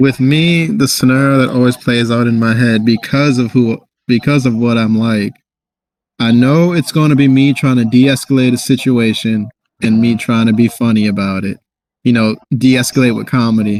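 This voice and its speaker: The man's pitch is medium and his intonation fairly even. He speaks at a moderate pace. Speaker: podcast co-host. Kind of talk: casual chat. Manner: monotone.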